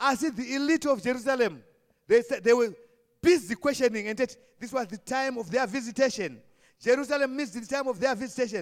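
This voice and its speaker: A man with a Zimbabwean accent talks at a very fast pace and an extremely high pitch. His pitch variation is ordinary, while his loudness swings widely. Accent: Shona-accented English. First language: Shona. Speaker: preacher. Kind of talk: Palm Sunday sermon, switching between Shona and English, ending in fervent prayer. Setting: church. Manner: fervent, exhortative, call-and-response.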